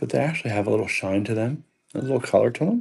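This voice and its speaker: A somewhat breathy man at medium pitch, dark and mellow in tone, at a fairly quick pace. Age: 50s. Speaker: online live-auction seller. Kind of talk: live-stream selling. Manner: casual, chatty.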